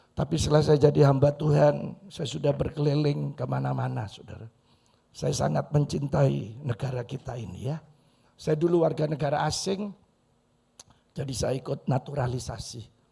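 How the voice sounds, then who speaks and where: A man with a fairly high pitch and a dark, mellow tone speaks at a moderate pace, with vocal fry, ordinary pitch variation and big swings in loudness. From Madura, Indonesia. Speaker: pastor. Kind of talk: sermon. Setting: church. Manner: animated.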